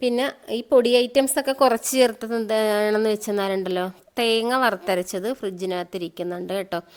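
Fairly high in pitch, a woman talks with ordinary pitch variation. Hers is an unremarkable speaking voice. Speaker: vlogger and mushroom grower. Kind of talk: casual vlog narration.

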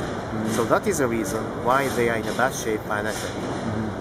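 A man talks at a moderate pace with a Japanese accent. Loud background noise runs behind him. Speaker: company executive. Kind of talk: interview. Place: hall. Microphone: phone near.

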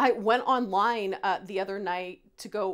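The setting is quiet. Her pitch, a woman's, varies in an ordinary way. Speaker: recipe host. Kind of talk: tutorial. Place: kitchen.

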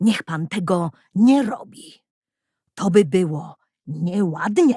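In a put-on character voice, the speaker uses a middle pitch and a fairly slow pace. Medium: read story. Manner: mild, polite.

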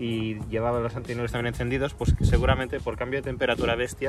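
With clear music in the background, a man's voice comes through dry, with no echo. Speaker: car hobby vlogger. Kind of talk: tutorial. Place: street. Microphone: phone near.

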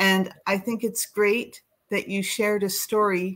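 A woman with a Canadian accent, speaking very slowly against a quiet background. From Canada. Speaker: children's charity advisor. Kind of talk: encouraging feedback. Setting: video call. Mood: warm, encouraging. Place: home room.

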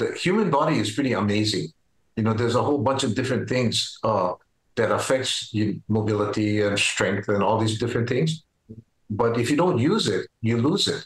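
A man of medium pitch talks at a moderate pace, somewhat breathy, with very even loudness and ordinary pitch variation. The background is quiet, and there is audible room echo. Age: 70s. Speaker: retired farmer and powerlifter. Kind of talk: interview answer. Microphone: video call.

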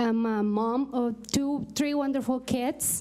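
In a Mexican accent, a woman talks with a high pitch and ordinary pitch variation. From Mexico. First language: Spanish. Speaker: parent advisory committee co-chair; parent giving public comment. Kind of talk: public address at a meeting. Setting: school board meeting. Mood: grateful, slightly nervous. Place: hall. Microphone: podium.

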